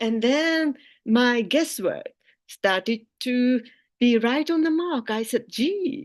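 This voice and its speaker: A woman speaks with a Japanese accent at a high pitch and a very slow pace. Her intonation is lively over a quiet background. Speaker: philosophy professor. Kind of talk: keynote lecture.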